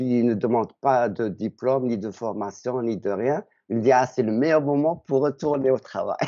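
Quiet surroundings frame a man talking at a medium speed, his pitch moving normally. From Algeria. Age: 60s. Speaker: retiree, dating agency client; interviewee. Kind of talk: interview; interview answer. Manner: halting. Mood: friendly, smiling. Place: home room. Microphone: video call.

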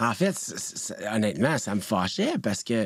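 Very wide pitch swings mark this man's fairly low voice. He speaks at a fairly slow pace in a very clean recording with a silent background. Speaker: TV producer. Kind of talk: interview.

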